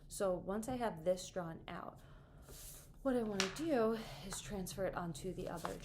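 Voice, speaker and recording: There is audible room echo around this woman's voice. Her pitch is medium, with ordinary variation. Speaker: art teacher. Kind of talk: tutorial. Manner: fast. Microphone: camera far away.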